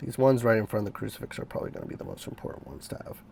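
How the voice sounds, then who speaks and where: Animated in tone, a man talks at a very fast pace. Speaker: sculptor and filmmaking hobbyist. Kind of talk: vlog tutorial. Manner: casual, animated.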